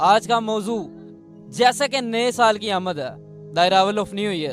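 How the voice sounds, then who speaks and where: With music in the background, a man speaks at a high pitch with ordinary pitch variation. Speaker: YouTube interviewer host. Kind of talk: interview host talk.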